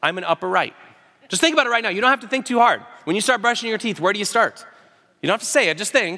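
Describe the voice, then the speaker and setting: With an American accent, a man speaks at a very fast pace in a raised, projected voice, high-pitched and bright and sharp in tone, with lively intonation. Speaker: pastor. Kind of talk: sermon. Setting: church.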